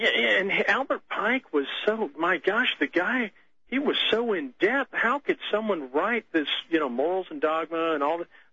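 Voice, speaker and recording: A man with an American accent speaks at a moderate pace in a high voice with very wide pitch swings, over noticeable background noise. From Texas. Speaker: caller, store worker. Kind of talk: phone-in call. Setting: phone call.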